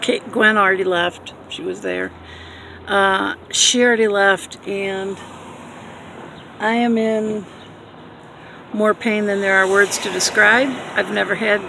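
The speech is very slow, broken by long, frequent pauses. Light background noise sits under a dry sound with no echo. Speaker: vlogger. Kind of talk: casual vlog chat. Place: car. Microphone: phone near.

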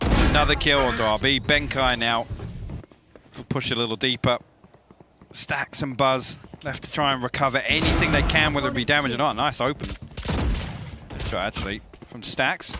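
Through noticeable background noise, a man speaks at medium pitch and a moderate pace with fairly even intonation and long, frequent pauses. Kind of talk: esports commentary, analytical co-caster. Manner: steadier, analytical, with occasional laughs.

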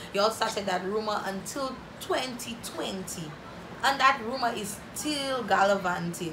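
Noticeable background noise surrounds a woman whose fairly high voice has lively intonation as she speaks at a fairly slow pace. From St Lucia. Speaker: YouTuber. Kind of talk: casual Q&A vlog. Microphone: phone near.

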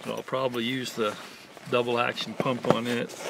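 Over loud background noise, a man talks at a fairly slow pace in a dry recording with no echo. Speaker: angler demonstrating gear. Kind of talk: casual tutorial chat. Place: open country. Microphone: camera far.

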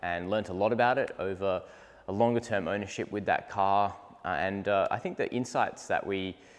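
With a normal speaking voice, a man talks at a moderate pace in a fairly low pitch with fairly even intonation. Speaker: presenter. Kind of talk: casual presenter walkthrough. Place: garage. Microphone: lapel.

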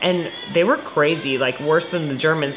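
With music playing in the background, a woman talks at a moderate pace in a fairly low pitch with ordinary pitch variation. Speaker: co-host watching a movie. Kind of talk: casual reaction commentary. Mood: relaxed, amused. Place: home room.

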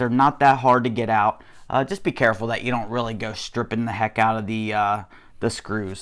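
A man's voice with fairly even intonation against a quiet background. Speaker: hobbyist tutorial maker. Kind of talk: tutorial. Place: home room. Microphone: lapel.

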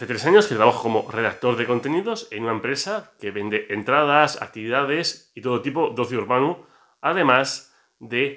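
Bright and sharp in tone, a man speaks at a moderate pace. His pitch varies normally, and the background is quiet. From Barcelona, Spain; Spain. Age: 40s. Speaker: comics YouTuber and author; comics content creator. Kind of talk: casual vlog monologue. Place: home room. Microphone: phone near.

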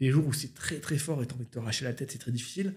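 Over a quiet background, a man talks very fast in a somewhat breathy voice with ordinary pitch variation. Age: 30s. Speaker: YouTuber and musician; YouTuber. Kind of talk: casual chat. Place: home room. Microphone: studio mic.

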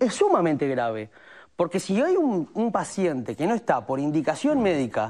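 A dark, mellow tone moves through very wide pitch swings over a quiet background. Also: man, high pitch for a man, moderate pace. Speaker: hospital staff committee spokesperson. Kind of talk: interview answer. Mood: earnest, critical. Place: studio. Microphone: lapel.

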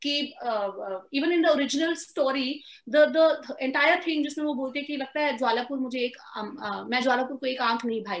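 A high-pitched woman at a moderate pace, with ordinary pitch variation and a quiet background. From India, Amritsar (Punjab); Punjab, India. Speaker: screenwriter. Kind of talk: interview. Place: home room. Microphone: video call.

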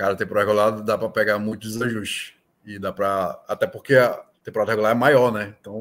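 A man is speaking. His pace is moderate. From Brazil, Manaus (Amazonas); Amazonas, Brazil. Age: 30s. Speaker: sports betting tipster; podcast guest. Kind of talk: casual interview. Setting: video call. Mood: relaxed, friendly. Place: home room.

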